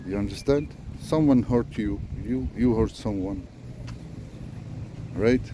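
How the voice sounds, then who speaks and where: At a fairly slow pace, a man talks with lively intonation at a medium pitch. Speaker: spiritual vlogger. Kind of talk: unscripted monologue. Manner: slow, deliberate; halting, many fillers.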